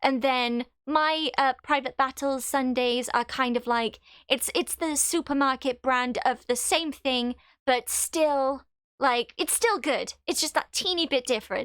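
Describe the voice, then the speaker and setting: A woman with a Welsh accent talks in a high voice at a fairly slow pace with ordinary pitch variation, in a very clean recording with a silent background and a dry, close sound with no echo. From Wales. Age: 20s. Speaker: gaming live streamer. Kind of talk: casual live stream chat. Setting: live stream.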